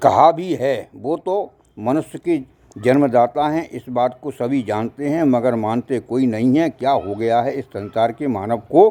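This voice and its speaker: Pitch moves with ordinary variation. The voice has a dark, mellow tone. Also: man. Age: 70s. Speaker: social commentator. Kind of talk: moral monologue.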